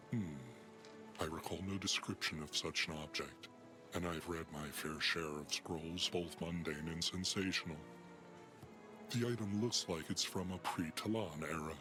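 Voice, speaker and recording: A man puts on a character voice with a very deep, low pitch, speaking at a moderate pace with long, frequent pauses while clear music plays in the background. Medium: video game. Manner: measured, dry, solemn.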